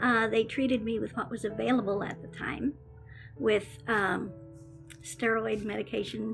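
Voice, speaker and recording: Music plays behind a woman speaking at a moderate pace. She leaves long, frequent pauses. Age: 70s. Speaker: childhood leukemia survivor. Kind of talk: interview answer. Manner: hesitant, conversational.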